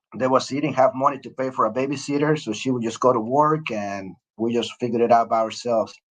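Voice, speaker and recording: A man in a strong Mexican accent, very fast, medium-pitched, with ordinary pitch variation. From Mexico, Mexico City. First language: Spanish. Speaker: retired Air Force officer. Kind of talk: interview. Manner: hesitant, many fillers.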